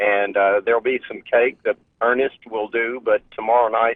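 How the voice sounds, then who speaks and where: The man's intonation stays fairly even at a medium pitch. His pace is fairly slow. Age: 60s. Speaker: local radio host, caller. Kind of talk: phone-in chat. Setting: phone call. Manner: halting, repeats words.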